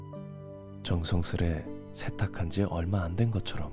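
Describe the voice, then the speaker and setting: A man's calm, fairly low voice over music in the background. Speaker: ASMR creator. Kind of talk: ASMR roleplay narration, healing story read. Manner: soft, calm, slow.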